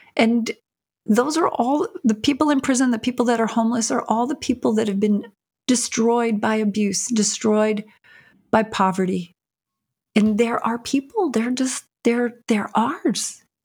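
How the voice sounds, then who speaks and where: A woman at a fairly high pitch, with ordinary pitch variation and a fairly slow pace. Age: 60s. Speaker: prison reform advocate and filmmaker. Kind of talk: interview.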